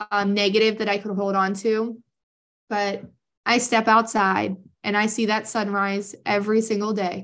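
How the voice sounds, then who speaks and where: Against a quiet background, a woman speaks at a moderate pace. Her fairly high voice stays in a flat monotone. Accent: American. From Pennsylvania, US East Coast. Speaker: advisor and education fundraiser. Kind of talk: interview, personal story.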